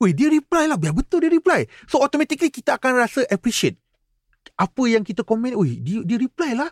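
A man at an extremely high pitch and a very fast pace, with lively intonation, in a dry, close sound with no echo and a very clean recording with a silent background. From Negeri Sembilan, Malaysia (FELDA settlement, Gemas). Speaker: automotive content creator. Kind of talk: casual interview chat.

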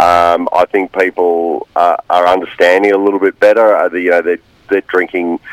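Someone with an Australian accent speaks at a moderate pace, the sound dry and close with no echo but with noticeable background noise. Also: man. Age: 40s. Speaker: winemaker. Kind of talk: radio interview. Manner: hesitant, many fillers.

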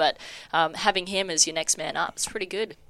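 This woman talks with an Australian accent at a fairly quick pace. Her tone is bright and sharp, and her intonation stays fairly even. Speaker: sports podcast co-host. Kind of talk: casual chat.

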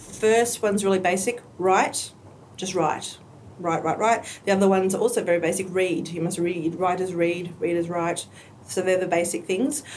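A woman with an Australian accent talks at a moderate pace, her medium pitch showing ordinary variation. Noticeable background noise and audible room echo surround her voice. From rural New South Wales, Australia (Tamworth). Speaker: aspiring romance novelist and refugee youth mentoring coordinator. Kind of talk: casual interview.

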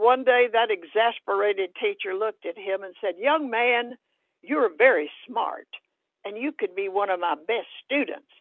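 A woman with an American accent speaks at a moderate pace in an ordinary speaking voice, her fairly high pitch showing ordinary variation. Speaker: author and retired psychology professor. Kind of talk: interview. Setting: video call.

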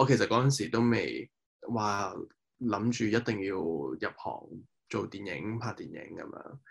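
Vocal fry runs through the speech at a fairly slow pace. The background stays quiet. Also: man. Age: 20s. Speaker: film director. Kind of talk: interview.

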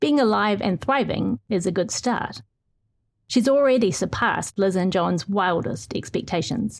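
On a very clean recording with a silent background, a woman with medium pitch and vocal fry speaks at a fairly slow pace with lively intonation. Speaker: newspaper reporter. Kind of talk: interview and reading own article aloud.

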